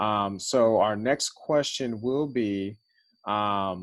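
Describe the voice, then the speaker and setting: A man with an American accent has an unremarkable speaking voice, fairly low in pitch with ordinary pitch variation. The recording is very clean, with a silent background. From Los Angeles. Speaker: university center director. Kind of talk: moderating a panel.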